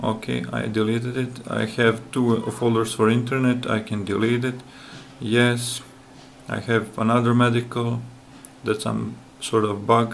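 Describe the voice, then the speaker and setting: Over light background noise, a man with a non-native accent talks at a fairly slow pace in a monotone, flat intonation. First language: not English. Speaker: app developer; app developer or reviewer. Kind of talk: software demo tutorial. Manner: hesitant, with fillers. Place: home room. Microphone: phone near.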